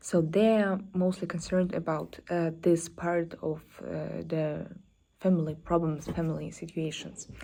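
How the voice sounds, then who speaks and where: A woman speaks with a non-native accent in a fairly low, dark, mellow voice. Her intonation is monotone and flat, and her pace is fairly slow. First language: not English. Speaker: self-development vlogger. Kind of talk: solo vlog talk. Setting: apartment or co-working space. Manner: halting, many fillers.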